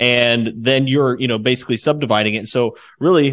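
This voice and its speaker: At a fairly quick pace, a man with an unremarkable speaking voice and medium pitch is heard in a very clean recording with a silent background. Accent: American. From Indiana, US Midwest. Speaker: podcast co-host. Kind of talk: podcast interview.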